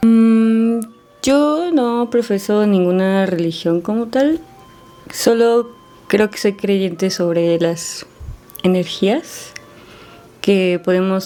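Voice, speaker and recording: With music in the background, the speaker uses lively intonation at a very slow pace, broken by long, frequent pauses. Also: woman. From Mexico, Puebla. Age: 20s. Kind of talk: interview testimony.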